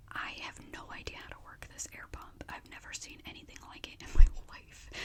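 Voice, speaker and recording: A woman is whispering. Noticeable background noise comes through. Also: moderate pace, big swings in loudness. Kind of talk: whispered story time, casual chatty talk to camera. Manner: whispered, chatty.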